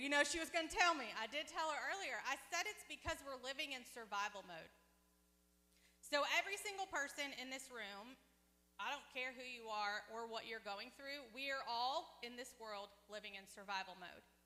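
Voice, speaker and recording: Loud and high-pitched, a woman speaks with lively intonation. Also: moderate pace. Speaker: pastor. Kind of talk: sermon. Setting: church service with congregation. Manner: conversational, interactive with audience.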